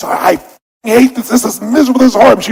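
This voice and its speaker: This put-on character voice has a fairly high pitch and a strong non-native accent. It races along at a very fast pace. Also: fairly even intonation. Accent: thick foreign. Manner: angry, raging.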